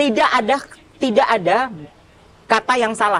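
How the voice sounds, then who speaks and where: A woman whose pitch sits fairly high speaks with ordinary pitch variation and a moderate pace, noticeable background noise behind her. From Pontianak, West Kalimantan, Indonesia. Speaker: MC, radio announcer and TV presenter. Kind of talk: podcast interview.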